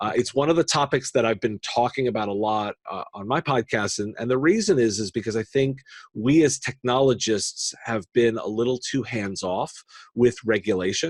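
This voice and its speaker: A plain, everyday voice, a man with an American accent at a medium pitch, moderate pace and ordinary pitch variation, in a dry, close sound with no echo on a very clean recording with a silent background. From United States. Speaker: tech podcaster and industry analyst. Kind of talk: podcast interview.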